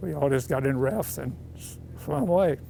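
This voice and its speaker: A man speaks with music playing in the background. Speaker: navy veteran pilot. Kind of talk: interview.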